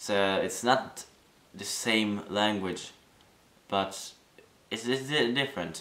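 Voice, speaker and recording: A very slow voice in a Norwegian accent, with long, frequent pauses, ordinary pitch variation and audible room echo. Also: man, fairly low pitch for a man. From Norway. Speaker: vlogger. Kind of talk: casual talk to camera. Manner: halting, many fillers and restarts.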